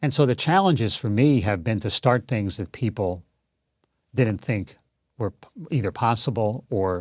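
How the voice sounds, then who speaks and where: A man speaks at a moderate pace in a medium-pitched voice with lively intonation, recorded very cleanly against a silent background. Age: 60s. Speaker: author and broadcaster. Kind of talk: interview. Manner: hesitant with fillers.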